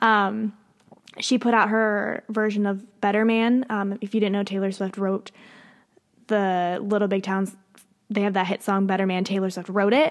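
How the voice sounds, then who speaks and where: With an American accent, the speaker keeps a moderate pace and a monotone, flat intonation. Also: woman, medium pitch for a woman. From Pennsylvania. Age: 20s. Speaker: podcast host. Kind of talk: casual solo monologue. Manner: hesitant, many fillers and laughs.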